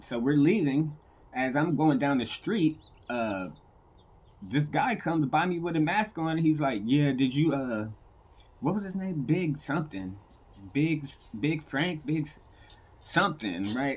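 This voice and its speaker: A man speaks at a fairly slow pace with a fairly high pitch, an animated tone and lively intonation. There are long, frequent pauses against a quiet background. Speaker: storyteller sharing personal recovery stories. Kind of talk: personal storytelling monologue.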